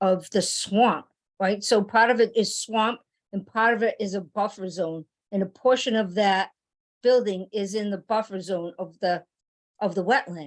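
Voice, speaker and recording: The speaker has an American accent and a fairly even intonation. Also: woman, medium pitch for a woman, moderate pace. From Gloucester, Massachusetts. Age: 60s. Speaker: resident speaking at public hearing. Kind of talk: public comment at zoning board meeting. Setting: municipal board meeting. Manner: halting.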